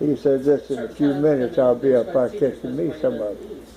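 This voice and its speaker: A man with a medium-pitched voice talks at a fairly quick pace over noticeable background noise. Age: 80s+. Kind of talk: reminiscing in family conversation.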